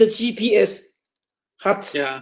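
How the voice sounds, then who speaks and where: A man is speaking. His voice sits high in pitch. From Taiwan. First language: Taiwanese Mandarin (speaking German). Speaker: diplomat. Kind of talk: interview.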